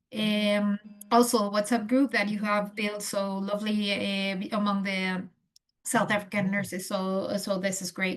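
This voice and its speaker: A woman with a non-native accent speaks fairly slowly in a medium-pitched, somewhat breathy voice. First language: not English. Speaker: nurse educator. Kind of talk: lecture. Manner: halting, many fillers.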